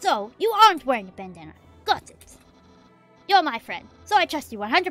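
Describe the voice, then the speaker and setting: The speaker uses a put-on character voice at a moderate pace. Faint music plays in the background. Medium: game stream. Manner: loud, enthusiastic, naive.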